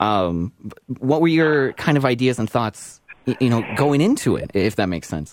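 An ordinary speaking voice from a man with a Canadian accent, medium in pitch, at a moderate pace with lively intonation. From Okotoks, Alberta, Canada. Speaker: podcast host. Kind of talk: interview.

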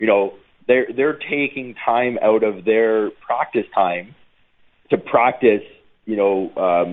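A man with a Canadian accent speaks very slowly at a medium pitch. His intonation stays fairly even. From Ontario, Canada (Niagara Falls). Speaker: former pro football player. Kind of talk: casual radio interview. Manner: halting, repetitive.

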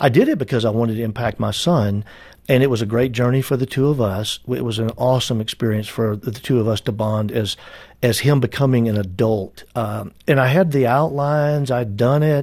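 A man speaks in an unremarkable speaking voice at medium pitch with ordinary pitch variation and a fairly quick pace. The recording is very clean, with a silent background. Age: 60s. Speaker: author and business advisor. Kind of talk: interview.

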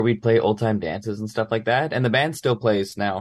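A man with a Manitoban accent and a fairly low pitch talks at a moderate pace on a very clean recording with a silent background. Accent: Canadian (Manitoba). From Brandon, Manitoba, Canada. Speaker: musician. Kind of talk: interview.

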